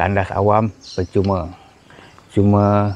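Over light background noise, a man with fairly low pitch speaks at a very slow pace, the sound dry with no echo. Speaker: travel vlogger. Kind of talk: casual vlog commentary. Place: open country. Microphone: phone near.

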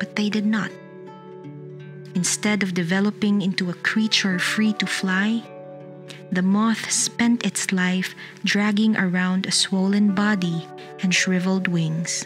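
Over music in the background, a woman at medium pitch speaks fairly slowly with very even loudness and long, frequent pauses. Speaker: narrator reading a short story. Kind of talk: story reading, meditation narration.

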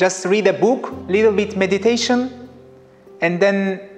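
A man at a very slow pace with ordinary pitch variation, over faint music in the background. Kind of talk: interview answer. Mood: relaxed, smiling. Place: studio. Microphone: lapel.

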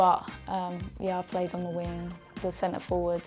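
A woman talks while music plays faintly in the background. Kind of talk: interview answer. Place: meeting room. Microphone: lapel.

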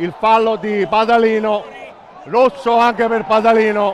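The speaker is a man. His voice is high-pitched. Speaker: football commentator. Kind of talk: live match commentary, rapid play-by-play over highlights. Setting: stadium.

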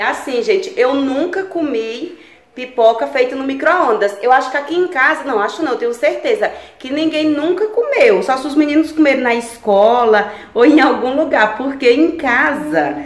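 A woman speaks in a high pitch at a moderate pace. Room echo is audible. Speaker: vlogger. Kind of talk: casual vlog chat. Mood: cheerful, excited. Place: kitchen. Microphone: phone near.

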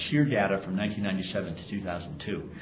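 A man speaks with a fairly low pitch. Noticeable background noise runs behind him. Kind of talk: interview answer. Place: hall.

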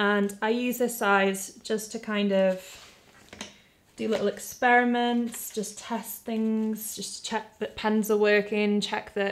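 Fairly slow and monotone, with flat intonation, a woman speaks at a medium pitch. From UK. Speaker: artist and video creator; video creator. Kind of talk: product review tutorial. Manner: casual, conversational. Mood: warm, light-hearted. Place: home room.

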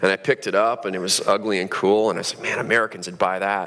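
This man talks at a very fast pace. Light background noise sits behind him. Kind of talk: public talk. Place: stage. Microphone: headset.

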